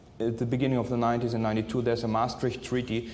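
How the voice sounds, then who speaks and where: Audible room echo surrounds a man who speaks in a medium pitch with a non-native accent. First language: not English. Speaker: forensic scientist. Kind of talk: conference presentation. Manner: halting, many filler sounds.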